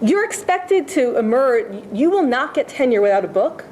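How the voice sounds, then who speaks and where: A woman speaks with lively intonation at a moderate pace. Noticeable background noise can be heard. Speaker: history professor on a faculty panel. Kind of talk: panel talk. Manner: loud; emphatic. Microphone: speaking without a microphone.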